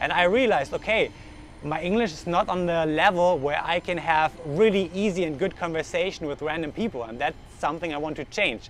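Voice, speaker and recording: Noticeable background noise sits behind this recording. A man speaks at a fairly quick pace in a high pitch. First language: German. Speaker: vlogger. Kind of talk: vlog monologue. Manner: halting.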